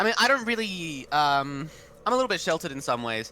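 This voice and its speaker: A man talks at a fairly quick pace in a fairly high, bright and sharp voice, his pitch swinging very widely. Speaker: machinima director. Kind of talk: casual chat.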